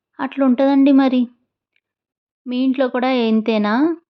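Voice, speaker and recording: A woman speaks at a fairly high pitch in an ordinary speaking voice. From Ongole, Andhra Pradesh, India. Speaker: family vlogger. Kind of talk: vlog narration. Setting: outdoors at a beach. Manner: chatty, addressing viewers.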